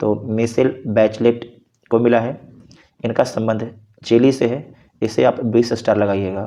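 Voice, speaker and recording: In a dark, mellow tone, a man speaks at a medium pitch with monotone, flat intonation and long, frequent pauses. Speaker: quiz teacher for competitive exams. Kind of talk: tutorial, quiz-style current affairs revision. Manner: repetitive question-and-answer delivery.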